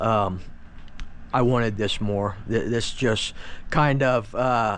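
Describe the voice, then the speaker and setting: A man speaks in a medium pitch with monotone, flat intonation. Audible room echo is present. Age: 50s. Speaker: RC hobbyist YouTuber. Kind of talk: casual product walkthrough. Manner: casual, filler-heavy.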